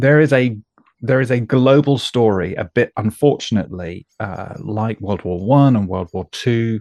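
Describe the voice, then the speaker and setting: A man with a British accent, medium pitch and ordinary pitch variation, against a quiet background. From UK. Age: 40s. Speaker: podcast host. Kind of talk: interview conversation. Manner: hesitant, repeats words.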